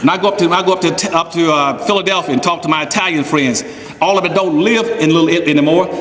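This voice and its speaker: A man with a high pitch speaks at a very fast pace in an animated tone with ordinary pitch variation. Audible room echo and noticeable background noise are present. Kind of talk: speech to an audience.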